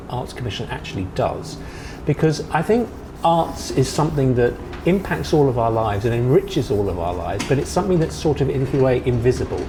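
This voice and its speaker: There is noticeable background noise as a man with a British accent talks at a fairly quick pace. His fairly high voice swings very widely in pitch. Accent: British, taken for Australian. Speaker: TV host. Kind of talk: interview. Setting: visitor center, over tea.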